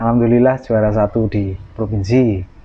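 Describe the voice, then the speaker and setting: The speech moves at a fairly slow pace, with noticeable background noise. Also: man. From Gunungkidul, Yogyakarta, Indonesia. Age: 20s. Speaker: wayang kulit puppeteer (dalang). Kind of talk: interview answer. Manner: casual.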